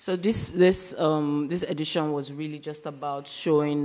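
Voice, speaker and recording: The voice has a dark, mellow tone and moves at a very slow pace. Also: woman. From Nigeria. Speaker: curator; speaker. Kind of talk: lecture. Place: hall.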